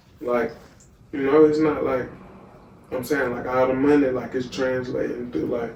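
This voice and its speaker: Speaking with an American accent, a man keeps a fairly even intonation and takes long, frequent pauses. Audible room echo and noticeable background noise are present. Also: medium pitch for a man, moderate pace. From US South, Wiggins, Mississippi. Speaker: musician and content creator. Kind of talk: casual interview. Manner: halting, many fillers.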